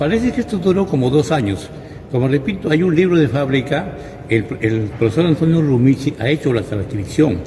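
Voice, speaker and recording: A man speaks at medium pitch with lively intonation. Noticeable background noise is present. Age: 60s. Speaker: local church historian. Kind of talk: interview. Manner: hesitant, with repetitions.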